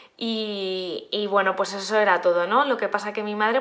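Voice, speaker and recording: A woman's fairly high voice at a fairly slow pace. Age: 20s. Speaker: life coach. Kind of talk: casual monologue. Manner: halting, many fillers.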